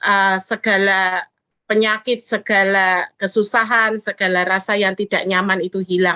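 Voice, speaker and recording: A woman with a shrill voice and a bright, sharp tone speaks at a fairly slow pace, the sound dry and close with no echo. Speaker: fellowship participant sharing testimony. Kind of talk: testimony.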